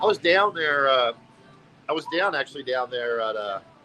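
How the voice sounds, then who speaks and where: Lively intonation carries the voice, with music in the background. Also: man. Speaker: livestreamer. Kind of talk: casual livestream chat. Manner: loud; animated.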